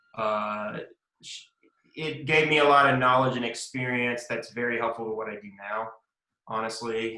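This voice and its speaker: A man with a Southern US accent talks at a moderate pace and medium pitch, his intonation fairly even but his loudness swinging widely. Long, frequent pauses break up his speech, and room echo is audible. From US South, Mississippi. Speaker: lawyer. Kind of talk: interview. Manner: casual, with frequent fillers.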